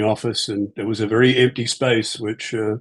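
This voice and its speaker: The speech comes in a New Zealand accent at a moderate pace. Its intonation is fairly even. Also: man. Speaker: aviation executive and pilot. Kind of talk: interview. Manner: hesitant with many fillers.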